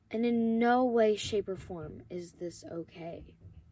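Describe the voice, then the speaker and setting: Very slow speech with a dark, mellow tone and ordinary pitch variation. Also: woman. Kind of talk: religious monologue.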